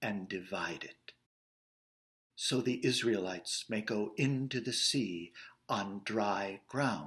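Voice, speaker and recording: Very slow in pace, a man with an American accent speaks in a bright, sharp tone with lively intonation. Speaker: actor and director. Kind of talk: Bible story storytelling read for kids.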